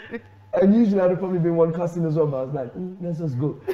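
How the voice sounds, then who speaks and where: A very fast delivery with ordinary pitch movement against noticeable background noise. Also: man. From Sierra Leone. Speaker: storyteller and hip hop artist. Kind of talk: chat show interview answer, telling an anecdote.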